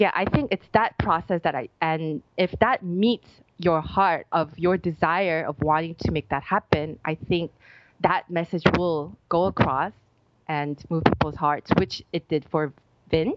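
A woman with an American accent and an ordinary speaking voice talks at a fairly slow pace, her fairly low pitch showing ordinary variation. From United States. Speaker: life coach. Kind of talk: interview conversation.

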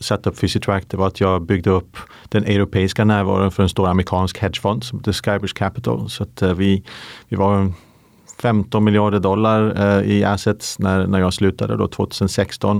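Recorded very cleanly with a silent background, a man speaks at a moderate pace with a fairly low pitch and fairly even intonation. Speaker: company founder and CEO. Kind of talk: podcast interview. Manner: halting.

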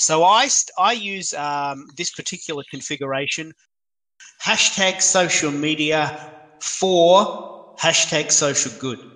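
Here a man speaks very slowly with an Australian accent. His tone is bright and sharp, and his pitch is fairly high. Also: ordinary pitch variation. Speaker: social media expert. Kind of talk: live video chat.

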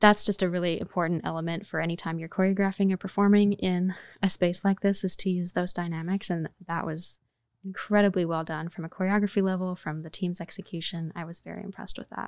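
A woman with an American accent speaks at a very fast pace with a medium pitch and monotone, flat intonation. The recording is very clean, dry and close, with no echo and a silent background. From Oklahoma. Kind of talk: interview.

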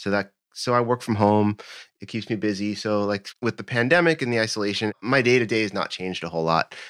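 A man talks at a fairly quick pace in a normal speaking voice, fairly low in pitch, on a very clean recording with a silent background. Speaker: bass player. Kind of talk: casual interview.

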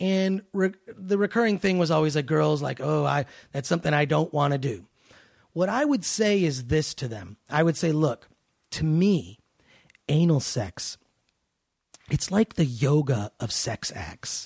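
In a very clean recording with a silent background and a dry, close sound with no echo, a man with a fairly high, somewhat breathy voice speaks at a fairly slow pace with lively intonation and long, frequent pauses. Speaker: podcast host and entertainment personality. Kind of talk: casual chat. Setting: studio.

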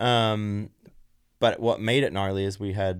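Speaking at a fairly slow pace, a man is heard on a very clean recording with a silent background. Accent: Australian. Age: 30s. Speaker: former racer. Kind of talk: casual chat.

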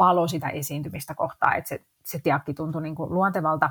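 Very deep and low for a woman, her somewhat breathy voice moves at a moderate pace with fairly even intonation, recorded very cleanly against a silent background with a dry, close sound and no echo. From Finland, Helsinki. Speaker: actress and investing blogger. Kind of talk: podcast interview.

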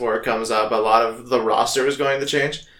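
At a moderate pace and medium pitch, a man speaks with audible room echo. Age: 20s. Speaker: podcast co-host, game master. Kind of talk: casual chat.

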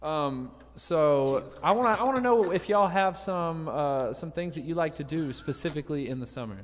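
A man with a Southern US accent speaks at a moderate pace in a fairly high pitch, his intonation lively. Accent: Southern US (Georgia). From US South, Savannah, Georgia. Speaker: musician and show host. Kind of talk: casual chat. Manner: animated.

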